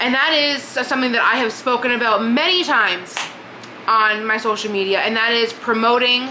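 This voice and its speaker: An animated tone amid noticeable background noise and audible room echo. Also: woman. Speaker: book vlogger. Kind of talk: casual monologue. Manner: fast.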